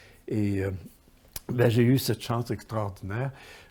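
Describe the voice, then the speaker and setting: With a Quebec accent, a man speaks fairly slowly in a dark, mellow, somewhat breathy voice with fairly even intonation. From Quebec, Montreal area (Verdun). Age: 70s. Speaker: poet and writer, software publisher founder. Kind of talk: interview. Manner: halting, many hesitations and repetitions.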